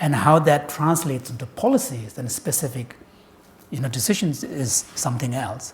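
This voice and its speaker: A man talks at a moderate speed, his fairly high pitch varying in an ordinary way. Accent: Tibetan. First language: Tibetan. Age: 60s. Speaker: Buddhist scholar and translator. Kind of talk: public talk. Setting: lecture hall with audience.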